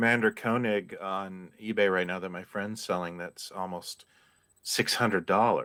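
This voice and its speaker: A man speaks at a fairly slow pace with a fairly low pitch, a bright, sharp tone, and fairly even intonation in a very clean recording with a silent background. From Canada. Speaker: toy collector and magazine writer. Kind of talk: casual chat.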